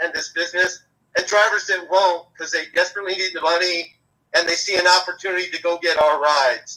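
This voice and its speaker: A man projects a raised voice that is high-pitched, bright and sharp in tone, with fairly even intonation. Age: 60s. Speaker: rideshare driver and activist. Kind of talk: live interview.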